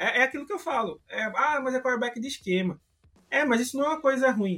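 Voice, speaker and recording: With lively intonation, a man speaks in a Recife accent. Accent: northeastern Brazilian (Recife). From Brazil, Recife (Pernambuco). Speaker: American football fan site admin. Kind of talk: casual podcast chat.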